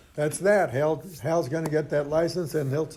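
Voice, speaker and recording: With audible room echo, a man speaks in a fairly high voice that has a dark, mellow tone and fairly even intonation. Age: 80s+. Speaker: AA speaker sharing recovery story. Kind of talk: testimony. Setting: stage with audience. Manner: halting, frequent repetitions.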